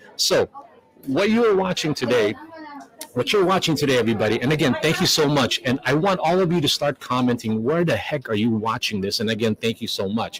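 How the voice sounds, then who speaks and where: With noticeable background noise behind him, a man talks at a fairly quick pace in a fairly high pitch, his pitch swinging very widely while his loudness stays very even. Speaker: live stream host. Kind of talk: live stream commentary. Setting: live event venue, community hall. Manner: fast, rambling. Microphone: far from the mic.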